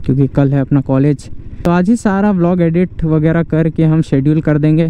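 The voice moves at a fairly slow pace, with a dry sound and no echo. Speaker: motovlogger. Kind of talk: casual vlog chat. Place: motorbike. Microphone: helmet.

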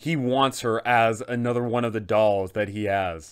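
A man at a fairly slow pace over a quiet background. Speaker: tabletop game content creator. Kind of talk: storytelling commentary. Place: home room.

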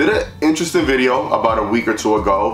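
A man talks at a moderate pace, and audible room echo surrounds his voice. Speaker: channel host. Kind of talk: casual vlog chat. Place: garage.

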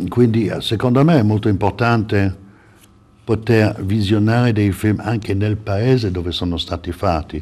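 His tone is dark and mellow, with a fairly low pitch. The man speaks at a fairly slow pace with ordinary pitch variation. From Italy (Florence); Italy. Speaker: film festival director; guest. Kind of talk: TV interview. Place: studio. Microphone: lapel.

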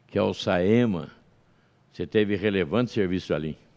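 The man's voice sits at a very deep, low pitch with ordinary pitch variation. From São Paulo state, Brazil. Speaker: podcast host. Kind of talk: interview. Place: studio. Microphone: studio mic.

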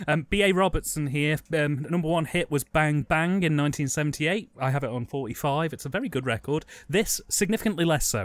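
With an English accent, a man with a fairly high voice speaks at a moderate pace with hardly any pauses and ordinary pitch variation. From England. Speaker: film commentary podcast co-host. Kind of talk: casual chat.

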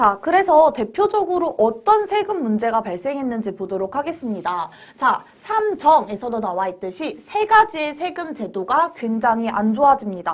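Her voice is high and has very wide pitch swings. The woman talks at a moderate pace with hardly any pauses. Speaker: history teacher for elementary students; history teacher. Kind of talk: lecture. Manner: explanatory, asks rhetorical questions. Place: studio. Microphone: lapel.

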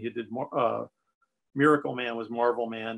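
Here a man talks with an American accent. His intonation is monotone and flat. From US. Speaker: comic book artist and writer; interviewee. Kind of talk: interview. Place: home room. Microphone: video call.

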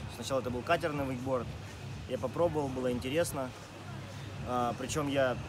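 Very fast speech from a man, with noticeable background noise around it. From Rostov-on-Don, Russia. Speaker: wakeboard rider and coach. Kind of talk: interview answers. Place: open country.

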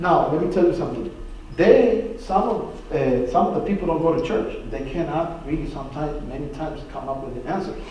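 A man talks at a fairly quick pace with lively intonation. Light background noise and audible room echo are present. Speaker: Bible study teacher. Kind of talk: sermon. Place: church. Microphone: camera far.

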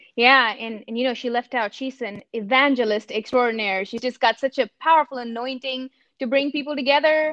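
A high-pitched woman at a fairly quick pace, fairly even in intonation, over a quiet background. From India. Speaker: campus minister. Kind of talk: casual chat. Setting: video call. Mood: warm, smiling. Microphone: video call.

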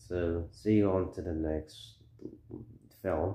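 In a room with audible echo, a man speaks at a very slow pace. His pitch shifts in an ordinary way. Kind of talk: casual vlog chat. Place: home room. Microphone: phone near.

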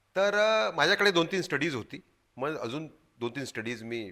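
A man's bright, sharp tone with lively intonation on a very clean recording with a silent background. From Madhya Pradesh, India (Gwalior). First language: Hindi (speaking Marathi). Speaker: journalist and activist. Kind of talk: interview. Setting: studio. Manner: halting.

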